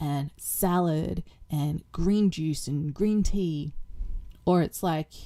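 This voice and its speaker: This woman has a fairly low pitch. Her tone is dark and mellow. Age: 40s. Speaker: cleaning vlogger and mother. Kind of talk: casual chat. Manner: chatty, rambling with fillers.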